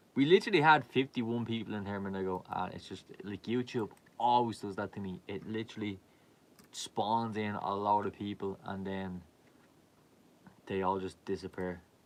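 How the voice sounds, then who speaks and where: A man with a Dublin accent, fairly low in pitch, at a moderate pace, with fairly even intonation and big swings in loudness. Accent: Irish, Dublin. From Ireland. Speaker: live streamer, clothing brand owner. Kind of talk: casual live stream chat. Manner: casual, meandering with fillers.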